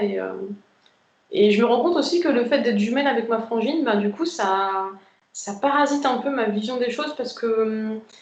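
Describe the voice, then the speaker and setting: Audible room echo carries a woman's fairly high voice with ordinary pitch variation. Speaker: twin flame group member sharing experience. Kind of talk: casual group chat on a live video. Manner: fast; hesitant, many fillers.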